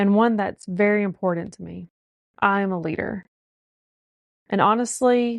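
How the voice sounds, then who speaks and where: A woman with a Southern US accent and ordinary pitch variation, in a dry, close sound with no echo and a quiet background. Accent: Southern drawl. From US South. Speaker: podcast host. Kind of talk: podcast monologue.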